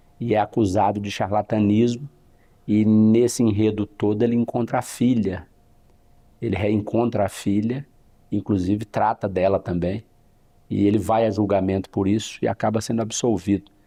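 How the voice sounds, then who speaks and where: A man speaks at a moderate pace with a dark, mellow tone and fairly low pitch. His intonation is monotone and flat, broken by long, frequent pauses. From northern Goiás (now Tocantins), Brazil. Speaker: criminal defense lawyer. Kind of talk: interview.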